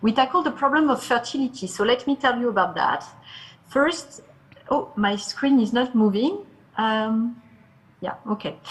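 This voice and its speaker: Here a woman with a French accent speaks at a high pitch, with ordinary pitch variation. She talks at a moderate pace with long, frequent pauses. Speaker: startup founder and CEO. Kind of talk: pitch presentation. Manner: halting.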